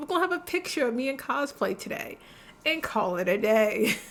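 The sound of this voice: A woman's high, hoarse, put-on character voice at a fairly quick pace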